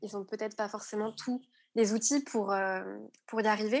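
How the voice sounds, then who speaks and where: A woman's fairly high, fairly even-toned voice against a quiet background. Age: 20s. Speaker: anthropologist. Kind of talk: interview, explanatory.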